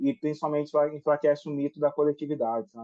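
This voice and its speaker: A man speaks in a fairly high voice. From Brazil, Cruzeiro (São Paulo–Minas Gerais border). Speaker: writer and activist. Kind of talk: TV interview.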